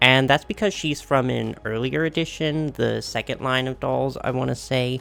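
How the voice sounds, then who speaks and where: A man with a medium pitch and an upbeat tone, backed by music in the background. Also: ordinary pitch variation, moderate pace. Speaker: doll collector youtuber. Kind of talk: unboxing video. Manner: casual, upbeat.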